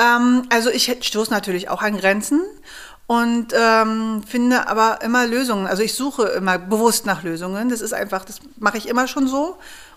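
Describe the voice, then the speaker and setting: Heard in a very clean recording with a silent background, a woman uses an ordinary speaking voice at a moderate pace with ordinary pitch variation. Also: fairly high pitch for a woman. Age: 40s. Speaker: startup founder, geoscientist. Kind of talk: interview, personal story. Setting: at home.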